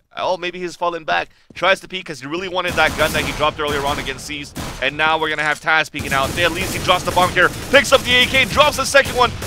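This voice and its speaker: A man's high-pitched voice at a very fast pace, lively in intonation, with noticeable background noise. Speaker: esports commentator. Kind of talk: live commentary. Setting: live event venue near players.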